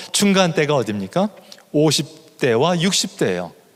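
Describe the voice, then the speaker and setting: This man has an ordinary speaking voice, pitched fairly high. He talks at a moderate pace with lively intonation. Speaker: professor of missiology. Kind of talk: lecture.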